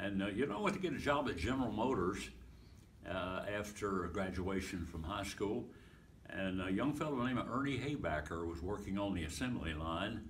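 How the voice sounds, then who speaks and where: Speaking with an American accent, a man uses lively intonation at a fairly low pitch and moderate pace, his voice somewhat breathy, with audible room echo. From Pennsylvania. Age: 80s+. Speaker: evangelist and retired pastor. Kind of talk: interview, life story. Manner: halting, many fillers.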